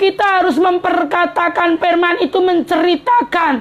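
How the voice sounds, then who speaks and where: Noticeable background noise sits behind a woman's extremely high, shrill voice. She talks at a very slow pace. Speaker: preacher. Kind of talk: sermon. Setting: live-streamed broadcast.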